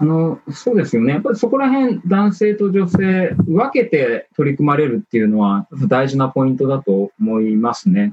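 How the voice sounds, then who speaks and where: Barely pausing, a man at a high pitch moves at a moderate pace, with very wide pitch swings. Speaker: management consultant. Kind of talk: panel discussion. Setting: video call. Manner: formal.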